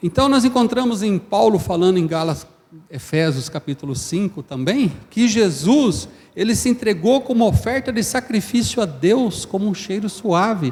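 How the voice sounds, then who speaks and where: A man speaks at a high pitch. His voice moves in very wide pitch swings. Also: moderate pace. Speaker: preacher. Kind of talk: sermon.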